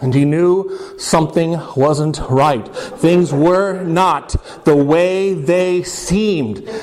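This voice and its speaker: Noticeable background noise sits behind a man with a high pitch. His loudness stays very even while his intonation is lively. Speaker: storyteller. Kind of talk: live folktale storytelling. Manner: casual, humorous.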